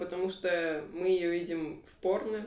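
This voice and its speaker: Amid noticeable background noise and audible room echo, a woman speaks very slowly at a medium pitch. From Kazakhstan, Almaty. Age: 20s. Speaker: web developer. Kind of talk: casual chat. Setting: studio, face to face.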